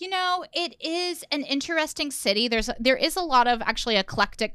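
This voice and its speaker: A woman with an American accent speaks in a raised, projected voice, high in pitch with a bright, sharp, animated tone. She moves at a fairly quick pace with lively intonation and hardly any pauses. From Indiana, US Midwest. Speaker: stand-up comedian. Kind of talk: casual chat.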